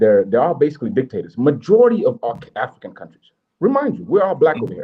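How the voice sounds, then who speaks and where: A man at a very fast pace, fairly high in pitch, with vocal fry, big swings in loudness, and very wide pitch swings. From Kenya. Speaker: podcast co-host. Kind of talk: casual debate. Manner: animated.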